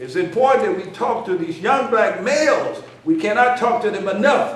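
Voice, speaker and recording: An animated man with an American accent speaks at an extremely high pitch, making very wide pitch swings. Noticeable background noise and audible room echo are present. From US South, Memphis, Tennessee. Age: 60s. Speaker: educator and minister. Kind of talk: conference speech. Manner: animated, repetitive emphasis.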